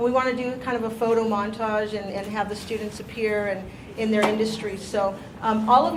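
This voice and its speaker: Noticeable background noise and audible room echo surround a woman whose fairly high voice moves at a fairly quick pace with fairly even intonation. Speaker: staff member at a teacher training meeting. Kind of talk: announcements at a meeting. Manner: loud.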